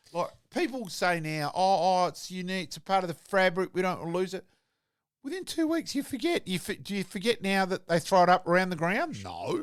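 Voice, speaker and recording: This man has a high pitch and an animated tone, talking at a fairly quick pace with ordinary pitch variation. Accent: Australian. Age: 60s. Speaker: former football umpire, sports pundit. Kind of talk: casual sports chat.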